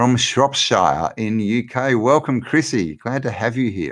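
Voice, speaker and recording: Speaking at a very slow pace with an Australian accent, a man shows vocal fry and lively intonation. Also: very clean recording, silent background. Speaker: livestream host, law of attraction channel. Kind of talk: live Q&A chat. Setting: live stream. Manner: casual, halting with repetitions.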